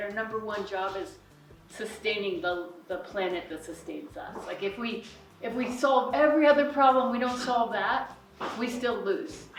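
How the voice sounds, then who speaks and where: A woman with an American accent speaks at a moderate pace and high pitch, with lively intonation, over background music and audible room echo. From Colorado, US. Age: 60s. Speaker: climate action speaker. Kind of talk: public talk.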